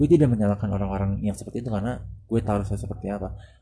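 A man speaks at a very fast pace with a fairly low pitch and a dark, mellow tone. There is vocal fry, and his pitch varies in an ordinary way. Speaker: podcaster. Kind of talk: solo monologue podcast, casual reflective talk. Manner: halting, many fillers and pauses.

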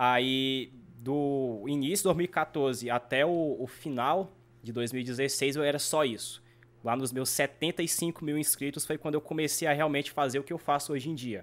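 A man with an ordinary speaking voice, fairly high in pitch, at a fairly slow pace with fairly even intonation, in a very clean recording over a silent background. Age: 20s. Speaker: gaming YouTuber. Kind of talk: casual chat.

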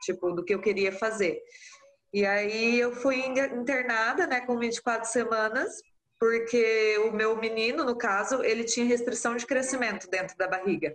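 A plain, everyday voice, a woman's fairly high one, moves at a fairly slow pace with very even loudness and ordinary pitch variation. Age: 30s. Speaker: mother of twins, artisan soap maker. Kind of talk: casual interview.

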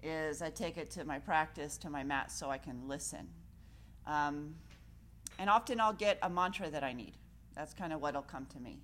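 Her very deep, low pitch carries vocal fry and ordinary pitch variation as this woman speaks at a moderate pace, with long, frequent pauses and big swings in loudness. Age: 40s. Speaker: yoga teacher. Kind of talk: yoga class talk. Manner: calm, relaxed.

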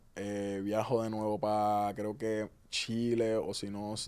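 A man's fairly low voice comes across in a dark, mellow tone. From Puerto Rico (Ceiba, Río Grande). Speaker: reggaeton artist. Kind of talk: casual interview.

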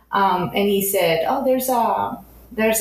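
Noticeable background noise sits under a woman speaking at a moderate pace with medium pitch and lively intonation. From Spain, near Barcelona. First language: Spanish. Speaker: concept artist. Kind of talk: casual interview chat.

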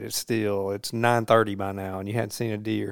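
A man speaks with a Mississippi accent. The recording is very clean, with a silent background. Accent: US South, Mississippi. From Mississippi, Jones County. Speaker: podcast host. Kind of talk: casual chat.

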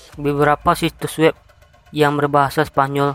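Delivered at a moderate pace, this dramatic reading stays flat and monotone in a dry, close sound with no echo. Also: man. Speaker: radio announcer. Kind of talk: horror narration. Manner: dramatic, hushed storytelling with creepy tension.

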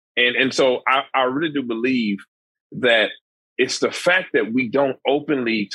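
Medium in pitch, a man talks at a moderate pace with ordinary pitch variation. He has an unremarkable speaking voice. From Dallas, Texas. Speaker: nonprofit founder, mentoring organization. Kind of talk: podcast interview.

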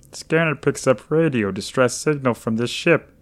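This man uses a put-on character voice. It sits at a medium pitch. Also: moderate pace.

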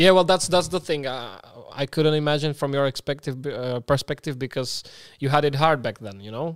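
In a very clean recording with a silent background, a man with a Slovak accent and a fairly high pitch talks at a moderate pace with ordinary pitch variation and big swings in loudness, the sound dry and close with no echo. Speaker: podcast host. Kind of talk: casual interview chat.

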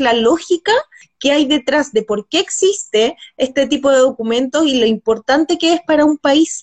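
Speaking with a Chilean accent, a woman uses a high voice with ordinary pitch variation, and the sound is dry and close with no echo. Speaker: host and researcher. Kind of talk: interview.

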